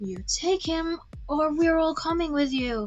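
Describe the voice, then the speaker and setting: A woman puts on a character voice pitched extremely high. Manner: amiable yet threatening.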